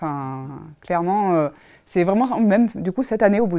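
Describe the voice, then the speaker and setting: A woman talks at a very fast pace with lively intonation and a dark, mellow tone. The background is quiet. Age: 30s. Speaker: fitness program client giving a testimonial. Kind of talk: testimony. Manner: hesitant, many fillers. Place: office.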